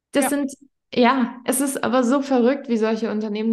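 Against a quiet background, a woman speaks with a fairly high pitch and a somewhat breathy voice. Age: 20s. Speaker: podcast host and health coach. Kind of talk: casual chat.

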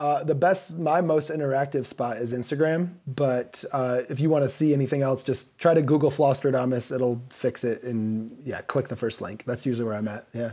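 Over noticeable background noise, a man with an American accent talks with hardly any pauses. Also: medium pitch for a man, ordinary pitch variation, moderate pace. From US Midwest (Kalamazoo, Michigan). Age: 40s. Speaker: DJ and music producer. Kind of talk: casual chat. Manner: animated.

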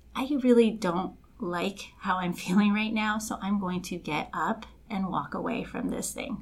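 A woman with an American accent, medium pitch and ordinary pitch variation, at a fairly slow pace over noticeable background noise. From Los Angeles, Colombian family. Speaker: life coach. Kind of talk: casual chat.

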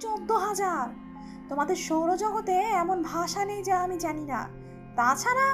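A woman's put-on character voice at a fairly slow pace, with clear music in the background. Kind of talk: audiobook storytelling. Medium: read story. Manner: superior, matter-of-fact.

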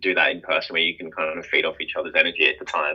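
This is a man speaking with an Australian accent. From Sydney, Australia. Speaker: electronic music duo member. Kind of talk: interview.

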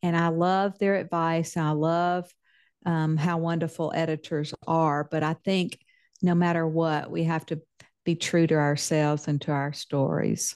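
A woman's fairly low voice in a Southern US accent, fairly slow and monotone, with very even loudness against a quiet background. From Mississippi, US South. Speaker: novelist. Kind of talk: interview.

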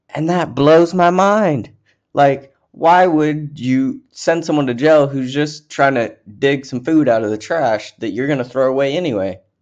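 A man talks fairly slowly in an unremarkable speaking voice, pitched fairly high. He uses ordinary pitch variation against a quiet background. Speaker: podcast host. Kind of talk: angry rant about homelessness and food waste. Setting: solo recording on a podcast app. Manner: heated, indignant, increasingly worked up; rambling, self-correcting, repeats words.

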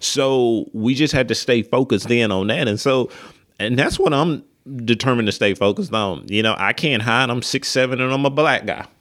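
Talking at a fairly quick pace with an Alabama accent, a man with a medium pitch shows ordinary pitch variation. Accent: Southern US (Alabama). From US South, West Alabama (Linden). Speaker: pastor. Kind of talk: casual chat.

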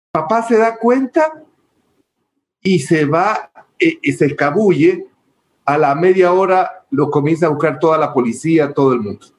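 This man speaks fairly slowly at a high pitch with lively intonation, leaving long, frequent pauses. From Ecuador, Milagro and Guayaquil. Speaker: telecom company executive. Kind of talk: interview conversation.

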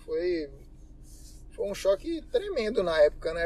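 This man speaks at a fairly slow pace. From Bahia, Brazil. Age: 20s. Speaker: mechanical engineer. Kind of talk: interview.

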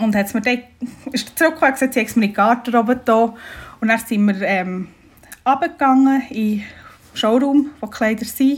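The speaker talks at a fairly quick pace with ordinary pitch variation. Long pauses come often. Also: woman, high pitch for a woman. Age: 30s. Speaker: bride-to-be. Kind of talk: casual chat.

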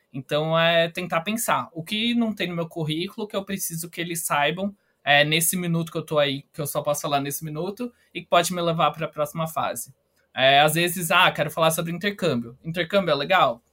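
Bright, sharp tone at a fairly quick pace, with ordinary pitch variation. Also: man, high pitch for a man. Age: 20s. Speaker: company trainee. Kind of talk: podcast interview.

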